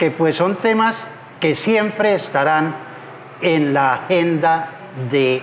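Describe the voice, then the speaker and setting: There is noticeable background noise behind this man. His pitch is fairly high, and his intonation is lively. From southwestern Colombia, Popayán and Cali. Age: 70s. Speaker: civil engineer and public contracting consultant. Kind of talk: interview. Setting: restaurant.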